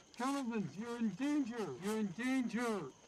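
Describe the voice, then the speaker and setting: Over clear background noise, a man does a put-on character voice at an extremely high pitch and a moderate pace. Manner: urgent, alarming.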